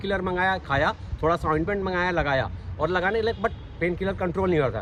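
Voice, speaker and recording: A man talks in a high pitch. Noticeable background noise runs under his voice. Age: 60s. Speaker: ex-armed forces facility manager. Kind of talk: interview testimony. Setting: outdoors on morning walk.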